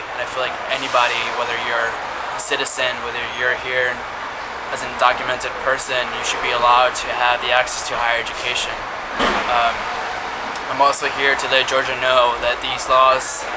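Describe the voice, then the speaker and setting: A man speaks at a medium speed while loud noise fills the background. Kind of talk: personal testimony to camera. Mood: earnest, emotional. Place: street. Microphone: phone near.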